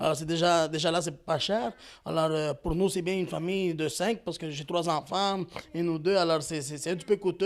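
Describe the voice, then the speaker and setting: Over a very clean recording with a silent background, a man talks at a fairly quick pace in a high pitch with fairly even intonation. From Quebec, Montreal (Parc-Extension). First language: Spanish (speaking French). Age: young. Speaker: community volunteer. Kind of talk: interview. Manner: hesitant, many fillers.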